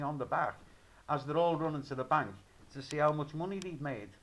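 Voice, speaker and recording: With a Liverpool accent, a man speaks at a fairly quick pace in a fairly high pitch. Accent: Liverpool (Scouse). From Liverpool, England. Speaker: video blogger. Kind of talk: rant. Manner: animated; halting.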